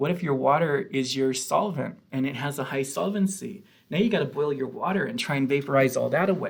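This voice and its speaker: Talking at a fairly quick pace with hardly any pauses, a man with a fairly high pitch sounds somewhat breathy amid audible room echo. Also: ordinary pitch variation. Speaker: chemistry professor. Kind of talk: lecture.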